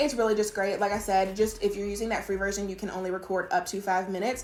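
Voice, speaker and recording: Over noticeable background noise and audible room echo, a woman speaks at a very fast pace. Her fairly high voice has an animated tone. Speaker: virtual assistant business owner and YouTuber. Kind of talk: casual tutorial talking to camera. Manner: animated, chatty.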